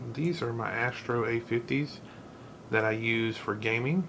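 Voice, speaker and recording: Noticeable background noise runs under this recording. A man speaks at a moderate pace and a medium pitch. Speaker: gaming channel host. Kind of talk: repair tutorial talk to camera.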